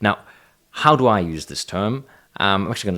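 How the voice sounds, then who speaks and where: A man's very deep, low voice with a non-native accent and ordinary pitch variation, on a very clean recording with a silent background. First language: not English. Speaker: Buddhism commentator. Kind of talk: solo talk video. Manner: hesitant, many fillers.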